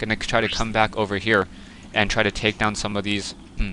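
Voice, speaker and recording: Talking at a fairly quick pace, a man uses a fairly low pitch and a bright, sharp tone. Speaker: gaming commentator. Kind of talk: game replay commentary. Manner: stuttering; fast.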